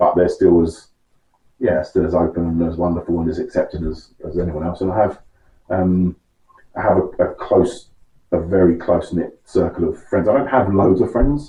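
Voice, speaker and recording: Here a man speaks at a moderate pace with a London accent. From West London, England. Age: 40s. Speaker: interview guest. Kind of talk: interview. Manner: halting.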